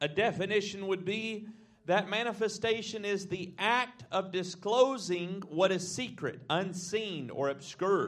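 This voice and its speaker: A man's high-pitched voice with a Southern US accent, fairly slow pace, ordinary pitch variation and audible room echo. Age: 20s. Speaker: visiting preacher. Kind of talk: sermon. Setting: church.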